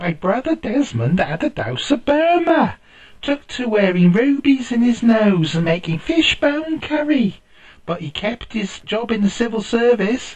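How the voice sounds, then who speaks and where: A put-on character voice, fairly high in pitch, at a moderate pace. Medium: read story.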